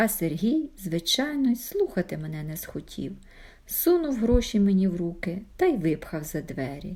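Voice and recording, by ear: A text is read aloud. It comes in a natural voice.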